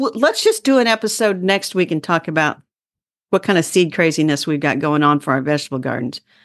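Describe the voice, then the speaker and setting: A woman talks at a fairly quick pace in a plain, everyday voice, set against a quiet background. Her pitch is fairly low, and her intonation is lively. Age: 60s. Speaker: gardening podcast host. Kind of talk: casual chat. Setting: video call.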